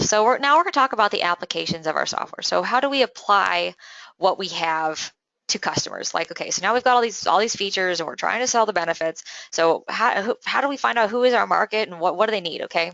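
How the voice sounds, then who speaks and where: Very fast and with lively intonation, a woman speaks at a medium pitch with vocal fry. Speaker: sales trainer. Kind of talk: training lecture.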